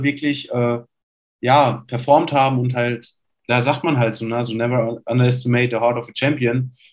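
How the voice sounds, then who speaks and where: A man with an ordinary speaking voice talks at medium pitch and a moderate pace, his intonation fairly even. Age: 20s. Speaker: basketball player. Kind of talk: casual chat.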